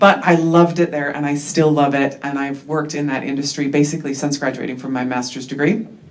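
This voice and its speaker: With an American accent, a woman speaks at a very deep, low pitch, with audible room echo and noticeable background noise. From United States. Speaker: behavioural scientist. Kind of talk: conference talk. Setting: workshop with live audience. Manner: casual, with frequent fillers.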